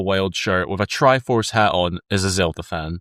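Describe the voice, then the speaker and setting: The Scottish accent comes through on a very clean recording with a silent background and a dry, close sound with no echo. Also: man. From Scotland. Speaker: YouTuber. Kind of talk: casual chat. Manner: animated.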